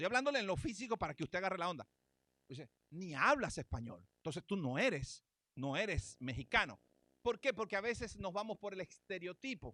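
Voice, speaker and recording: A man's high, bright, sharp voice with very wide pitch swings, in a dry, close sound with no echo. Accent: Venezuelan. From Venezuela. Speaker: pastor. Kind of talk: sermon. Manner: animated.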